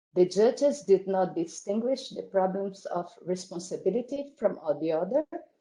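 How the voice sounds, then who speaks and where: A woman talks at a fairly slow pace in a Portuguese accent. Her tone is dark and mellow. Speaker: academic conference speaker. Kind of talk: reading aloud. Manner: halting.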